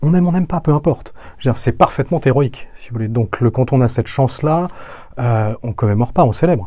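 With lively intonation and a fairly quick pace, a man talks in a somewhat breathy, dark, mellow voice of medium pitch. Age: 40s. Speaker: podcast guest, descendant of a noble family. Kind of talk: interview conversation. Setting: studio. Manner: hesitant, many repetitions.

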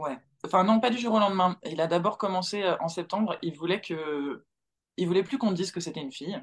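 Pitch varies in an ordinary way at a fairly quick pace. It is a normal speaking voice. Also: woman, medium pitch for a woman. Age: 30s. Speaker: mother sharing her experience. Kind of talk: testimony.

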